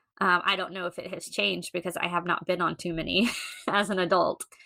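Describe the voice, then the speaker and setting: A woman speaks in a Southern US accent with a bright, sharp tone. The recording is very clean, with a silent background. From US South. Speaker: podcast co-host. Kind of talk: casual podcast discussion.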